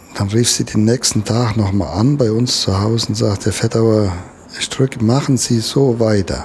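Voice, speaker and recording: A man's fairly low voice with fairly even intonation against noticeable background noise. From Germany, Westerwald. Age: 60s. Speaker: conservationist and angler. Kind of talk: interview.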